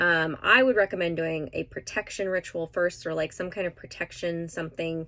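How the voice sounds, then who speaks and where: A woman's medium-pitched voice comes through in a very clean recording over a silent background. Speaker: tarot card reader. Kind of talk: tarot reading monologue. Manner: fast; animated.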